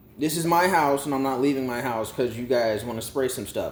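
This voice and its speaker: A man speaks loudly in an animated tone. Audible room echo and noticeable background noise fill the recording. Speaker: YouTube storyteller and vlogger. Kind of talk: casual rant to camera. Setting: at home.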